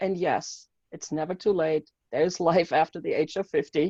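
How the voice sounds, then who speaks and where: A woman's fairly low-pitched voice with a German accent, dark and mellow in tone, at a moderate pace, dry and close with no echo against a quiet background. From Germany. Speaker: mindset coach and author. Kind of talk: interview. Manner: animated.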